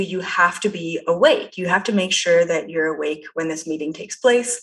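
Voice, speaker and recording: A woman with a Canadian accent, an unremarkable speaking voice, and a moderate pace. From Canada. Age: 20s. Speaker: psychic. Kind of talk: interview. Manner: casual, lots of fillers.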